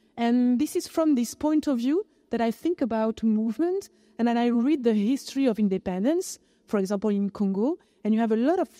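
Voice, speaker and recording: A woman with a French accent, fairly high in pitch, dark and mellow in tone, with lively intonation at a moderate pace in a dry, close sound with no echo. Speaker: philosopher. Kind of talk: panel discussion. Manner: halting.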